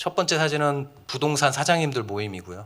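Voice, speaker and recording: A man's bright, sharp tone, fairly quick pace and ordinary pitch variation. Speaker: pastor. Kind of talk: seminar talk. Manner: fast.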